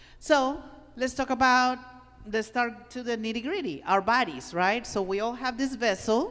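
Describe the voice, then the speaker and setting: With a non-native accent, a woman speaks in a high voice at a moderate pace, animated in tone, with ordinary pitch variation. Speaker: workshop presenter. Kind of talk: workshop talk.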